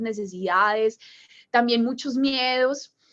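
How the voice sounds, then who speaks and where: A woman speaks with a strong Colombian paisa accent. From Colombia, Medellín (paisa). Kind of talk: religious talk to a group.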